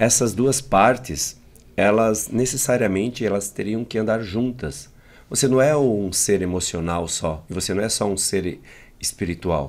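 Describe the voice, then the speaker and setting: With lively intonation, a man speaks at a fairly slow pace in a fairly low voice. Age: 50s. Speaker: emotional intelligence trainer and speaker; emotional intelligence trainer, speaker. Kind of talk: interview. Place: studio. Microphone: studio mic.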